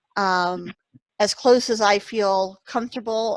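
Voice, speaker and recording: An ordinary speaking voice from a woman moves at a fairly slow pace with fairly even intonation, dry and close with no echo, on a very clean recording with a silent background. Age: 50s. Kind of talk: casual chat.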